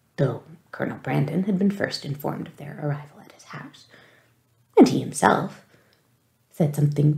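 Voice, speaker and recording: Soft-spoken and gentle in tone, the voice keeps a moderate pace broken by long, frequent pauses over a quiet background. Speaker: audiobook reader. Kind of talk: read-aloud narration of a novel. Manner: soft-spoken, gentle ASMR reading voice.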